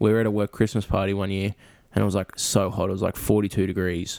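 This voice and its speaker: Very fast and playful, a man speaks at a fairly low pitch with vocal fry and monotone, flat intonation. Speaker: podcast co-host. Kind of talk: casual chat. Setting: video call. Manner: joking, playful.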